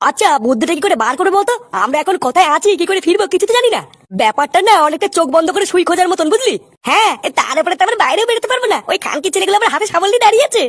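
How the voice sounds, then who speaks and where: Whiny and extremely high, a put-on character voice rattles along at a very fast pace. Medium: cartoon. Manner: stammering, whiny, panicky.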